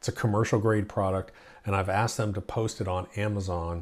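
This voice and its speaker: A man speaks fairly quickly in a fairly low pitch. His voice is somewhat breathy, with fairly even intonation. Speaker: lawn care channel host. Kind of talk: casual vlog chat. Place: home room.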